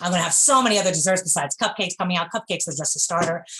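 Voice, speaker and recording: A woman with a New York accent, fairly low in pitch, animated in tone with ordinary pitch variation, over noticeable background noise. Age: 40s. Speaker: bakery owner. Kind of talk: interview.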